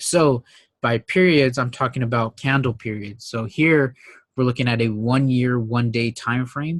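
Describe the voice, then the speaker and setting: A normal speaking voice from a man, medium in pitch, with fairly even intonation, a moderate pace and a dry, close sound with no echo. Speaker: trading educator. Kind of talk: tutorial.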